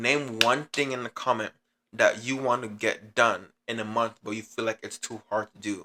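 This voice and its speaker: His tone is bright and sharp, his intonation monotone and flat. The man talks at a fairly quick pace, and the sound is dry and close with no echo. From Jamaica. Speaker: vlogger. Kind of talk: motivational vlog. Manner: fast; casual, halting.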